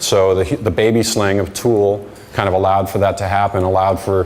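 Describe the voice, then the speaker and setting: Speaking at a fairly quick pace, a man with a fairly low pitch keeps a monotone, flat intonation amid audible room echo. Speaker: conference speaker, digital marketing strategist. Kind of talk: conference talk. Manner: halting, repeats words.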